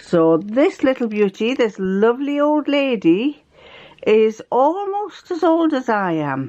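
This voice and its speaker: A woman with an English accent talks at a very slow pace in a high voice that makes very wide pitch swings. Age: 70s. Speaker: sewing vlogger. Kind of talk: casual chat. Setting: home sewing room.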